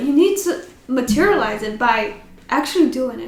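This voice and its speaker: A woman's high voice with a non-native accent, moderate pace and audible room echo. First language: not English. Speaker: podcast host. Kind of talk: casual chat. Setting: in front of a camera.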